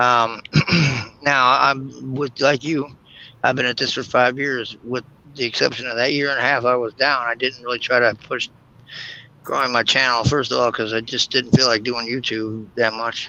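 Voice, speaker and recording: The voice is bright and sharp in tone, monotone and flat in intonation, at a moderate pace. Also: man, medium pitch for a man. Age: 50s. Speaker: YouTube creator. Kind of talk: casual chat.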